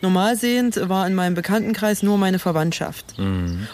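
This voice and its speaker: A woman's fairly low voice with ordinary pitch variation at a moderate pace, an ordinary speaking voice. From rural eastern Germany (former GDR). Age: young. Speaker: blind podcast co-host. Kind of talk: casual chat. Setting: outdoors.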